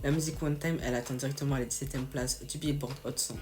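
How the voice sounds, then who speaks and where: A woman with a very deep, low pitch speaks very fast, with audible room echo and noticeable background noise. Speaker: youtuber. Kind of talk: casual storytelling video. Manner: animated, slangy.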